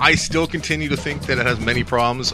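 Faint music plays in the background while a man speaks with a dry sound that has no echo. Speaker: podcast co-host. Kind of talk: film review discussion. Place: home room. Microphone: studio mic.

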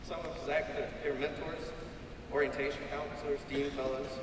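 Over clear background noise, a man talks at a moderate pace with a fairly high pitch and little pitch movement.

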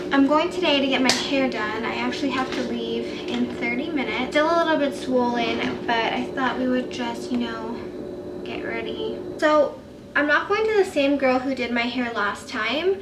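Loud background noise fills the clip. A woman speaks over it at a moderate pace. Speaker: vlogger. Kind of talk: casual vlog chat.

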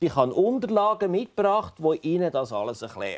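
The speaker talks at a fairly slow pace with very wide pitch swings. The background is quiet. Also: man. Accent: Swiss. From German-speaking Switzerland. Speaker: doctor visiting a patient. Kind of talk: explanation to a patient, partly narration. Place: home room. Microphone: lapel.

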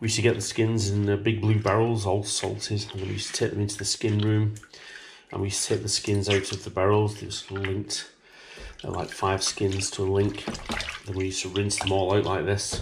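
Over noticeable background noise, a man speaks fairly quickly at a fairly low pitch. His intonation is flat and monotone. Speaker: butcher demonstrating recipe. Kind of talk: tutorial. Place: kitchen.

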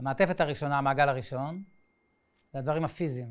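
Pitched fairly high, a man speaks with ordinary variation in his pitch. His pace is fairly quick. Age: 60s. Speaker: painter and art teacher; art teacher. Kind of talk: lecture. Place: classroom.

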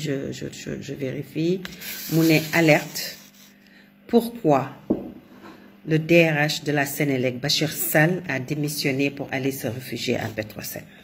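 A woman's very deep, low voice at a very slow pace, with ordinary pitch variation and noticeable background noise. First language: Wolof (speaking French). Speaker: commentator. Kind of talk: monologue commentary.

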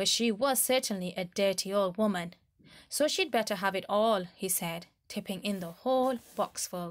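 Pitch varies in an ordinary way as the text is read aloud plainly.

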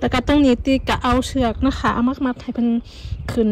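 A woman's high-pitched, monotone voice with flat intonation, dry sound without echo, and light background noise. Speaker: home gardener vlogger. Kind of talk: casual vlog chat. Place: garden. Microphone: phone near.

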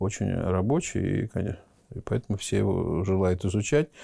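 A man speaks with a very deep, low pitch and a dark, mellow tone. His pace is moderate, his pitch variation ordinary, and the background is quiet. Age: 50s. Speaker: theatre school rector, former dancer. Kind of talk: interview. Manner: hesitant, with many filler words. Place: office. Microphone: lapel.

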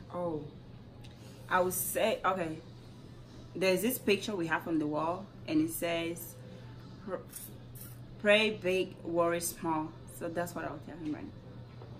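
A woman speaks fairly slowly at a fairly low pitch, with ordinary pitch variation and long, frequent pauses. Her loudness swings widely over light background noise. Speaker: vlogger. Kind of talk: casual talk to camera. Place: home room. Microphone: camera far.

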